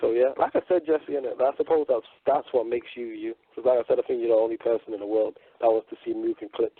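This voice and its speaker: Someone with a British accent speaks at a very fast pace. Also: man. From northern England, Manchester. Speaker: radio co-host. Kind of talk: casual chat.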